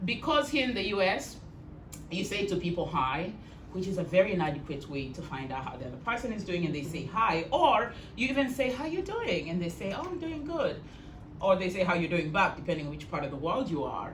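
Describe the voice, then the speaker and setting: A woman talks at a fairly quick pace with very wide pitch swings, amid noticeable background noise and audible room echo. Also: medium pitch for a woman. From Kenya. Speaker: storyteller. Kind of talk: talk to an audience.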